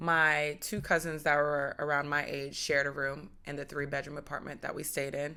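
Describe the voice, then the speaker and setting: A woman with an American accent speaks at a moderate pace with hardly any pauses. Her pitch is very deep and low, her tone bright and sharp, her intonation monotone and flat. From United States. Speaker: podcast host. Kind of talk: personal testimony.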